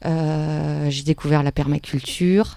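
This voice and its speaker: A woman's dark, mellow tone. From France, Paris. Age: 40s. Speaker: permaculture and nonviolent communication teacher. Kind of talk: interview. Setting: at her home. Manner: hesitant, many fillers and repetitions.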